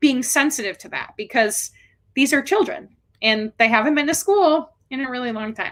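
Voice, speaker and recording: A woman with a Chicago accent speaks in a raised, projected voice, her pitch high and her tone bright and sharp. Her loudness swings widely, while her pace stays moderate and her pitch varies an ordinary amount. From Chicago, Illinois. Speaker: special educator. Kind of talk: interview.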